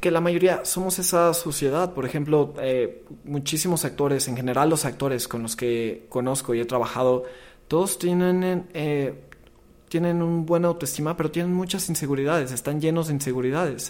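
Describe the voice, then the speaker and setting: A man speaks at a moderate pace in a fairly high pitch, with an unremarkable speaking voice. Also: ordinary pitch variation. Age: 20s. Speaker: film marketing professional. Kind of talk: casual chat.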